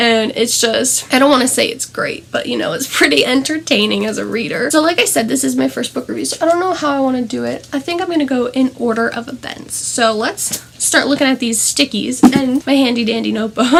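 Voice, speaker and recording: A woman talks in a high pitch with hardly any pauses. Noticeable background noise sits behind her. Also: ordinary pitch variation, fairly quick pace. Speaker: book reviewer. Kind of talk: book review vlog. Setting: at home in front of a tapestry. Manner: animated.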